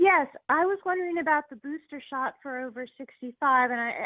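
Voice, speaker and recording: Pitch varies in an ordinary way as the speaker keeps a moderate pace. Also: woman. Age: 60s. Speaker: caller. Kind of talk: call-in question.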